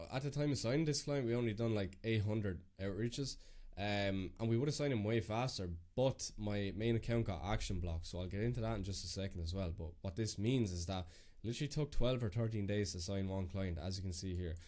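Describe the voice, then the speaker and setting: Lively intonation marks this man's Irish accent. His pitch is fairly low and his pace very fast. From Ireland. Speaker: business coach. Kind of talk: screen-share walkthrough. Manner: casual, filler-heavy.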